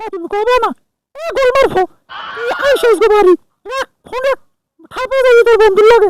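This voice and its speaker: A squeaky, extremely high put-on character voice rattles along at a fairly quick pace. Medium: stage play. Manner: whiny, pleading.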